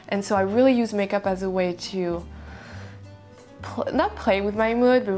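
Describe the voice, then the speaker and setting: A woman talks at a moderate pace with fairly even intonation. Faint music plays in the background. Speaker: beauty vlogger. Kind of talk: casual vlog chat. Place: home room.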